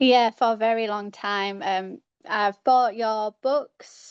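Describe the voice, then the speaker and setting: Against a quiet background, a woman talks with a British accent. Her pitch is fairly high and her intonation fairly even. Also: dry, close sound with no echo. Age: 30s. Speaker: caller. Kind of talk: casual chat. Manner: halting.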